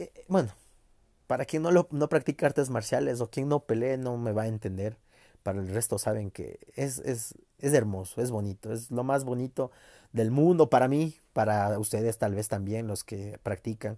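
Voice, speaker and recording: In a very clean recording with a silent background, a man with a Mexican accent speaks in a dark, mellow tone with ordinary pitch variation. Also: medium pitch for a man, moderate pace, dry, close sound with no echo. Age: 20s. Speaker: podcaster. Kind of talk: personal monologue.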